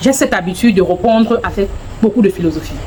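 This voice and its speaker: With lively intonation, a woman talks at a fairly quick pace over noticeable background noise. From Anglophone Cameroon. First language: English (speaking French). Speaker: vlogger. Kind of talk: casual vlog talk to camera. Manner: halting, searching for words.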